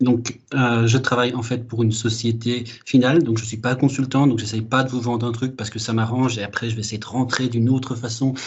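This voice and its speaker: Fairly quick, somewhat breathy speech in a monotone, flat intonation, with hardly any pauses and audible room echo. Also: man, medium pitch for a man. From Belgium. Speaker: data architect, conference speaker. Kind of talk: conference talk. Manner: hesitant, many fillers.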